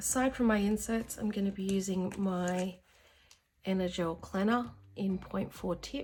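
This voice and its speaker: At a moderate pace, a woman with a medium pitch speaks in a somewhat breathy voice with ordinary pitch variation. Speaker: planning vlogger. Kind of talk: casual vlog tutorial.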